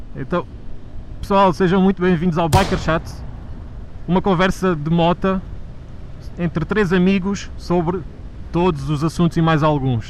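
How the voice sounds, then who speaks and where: With an Alentejo accent, a man speaks at a high pitch, with fairly even intonation, very even loudness, and long, frequent pauses. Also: fairly slow pace. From Alentejo, Portugal. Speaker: motovlogger. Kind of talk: casual chat. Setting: riding motorcycle, helmet intercom.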